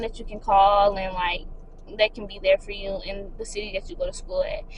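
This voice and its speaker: A woman's speech comes through with noticeable noise in the background. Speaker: lifestyle vlogger. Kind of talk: casual advice vlog. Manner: fast.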